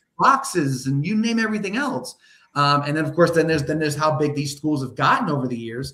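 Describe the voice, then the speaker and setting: Talking at a very fast pace, a man uses lively intonation at a fairly high pitch. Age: 60s. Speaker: sports podcast co-host. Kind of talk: casual chat. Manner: halting, many restarts and repetitions.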